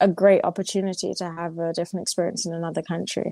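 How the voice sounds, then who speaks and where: A woman's dark, mellow tone in dry, close sound with no echo. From England. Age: 20s. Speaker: professional footballer. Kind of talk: interview. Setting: podcast. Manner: casual, filler-heavy (like, you know).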